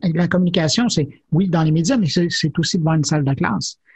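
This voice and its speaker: Keeping a moderate tempo, a man talks in a high register. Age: 50s. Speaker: technology journalist and media executive. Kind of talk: interview.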